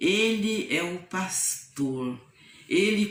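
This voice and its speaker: Amid audible room echo, a woman speaks at a medium pitch with very wide pitch swings. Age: 70s. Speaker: nun. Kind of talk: testimony.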